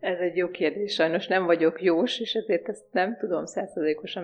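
Here is an ordinary speaking voice from a woman, fairly low in pitch. She keeps a moderate pace with ordinary pitch variation. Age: 40s. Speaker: naturopath. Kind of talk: radio interview.

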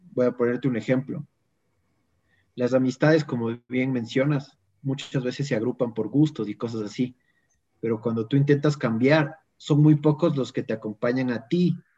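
Speaking at a moderate pace and medium pitch, a man has a dark, mellow tone and fairly even intonation. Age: 20s. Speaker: lay evangelizer. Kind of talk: casual chat.

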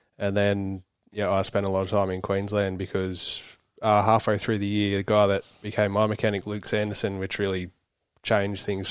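Over a silent background in a very clean recording, a man with an Australian accent talks at a fairly quick pace in a fairly low, monotone, flat voice. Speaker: motocross racer, concreter. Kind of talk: casual interview.

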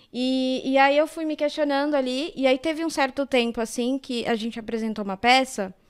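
A woman's high voice in a São Paulo accent, with ordinary pitch variation, a moderate pace and hardly any pauses. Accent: Paulistano Portuguese. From São Paulo, Zona Sul (Campo Limpo). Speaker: actress and social educator. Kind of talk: podcast interview.

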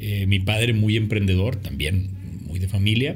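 Audible room echo surrounds a man speaking at a fairly quick pace, his fairly low voice somewhat breathy. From Mexico, Monterrey. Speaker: film director and producer. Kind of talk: interview. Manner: halting, repeats words.

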